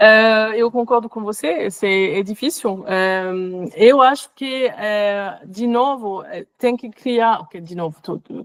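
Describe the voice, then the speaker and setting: A woman's fairly high voice with a French accent, very slow, with ordinary pitch variation and big swings in loudness. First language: French (speaking Portuguese). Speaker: workshop facilitator, researcher. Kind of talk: workshop discussion answer. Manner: halting, many fillers.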